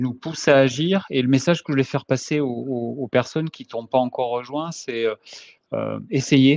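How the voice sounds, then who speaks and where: A man at a medium pitch and a moderate pace, in a dry, close sound with no echo. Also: fairly even intonation. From France. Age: 50s. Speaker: engineer, course participant. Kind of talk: testimony. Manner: halting, many repetitions and hesitations.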